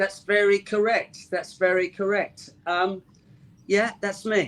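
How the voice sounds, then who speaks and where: A man with a London accent, high-pitched, monotone and flat, at a very slow pace. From North London. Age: 60s. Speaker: rock drummer. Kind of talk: interview.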